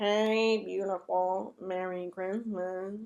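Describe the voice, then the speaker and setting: Using a put-on character voice, a woman mumbles softly at a medium pitch, very slowly and in a flat monotone. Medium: read story. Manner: soft, mumbling.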